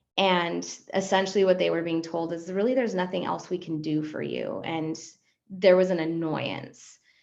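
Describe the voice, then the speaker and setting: A woman's fairly low voice at a moderate pace, with fairly even intonation and audible room echo. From Argentina. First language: Spanish. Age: 40s. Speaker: psychologist. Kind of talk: podcast interview.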